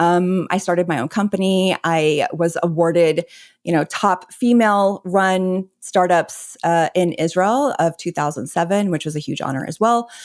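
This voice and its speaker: A woman with an unremarkable speaking voice talks at a fairly low pitch and a moderate pace, with ordinary pitch variation and hardly any pauses, on a very clean recording with a silent background. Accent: American. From Texas. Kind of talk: interview.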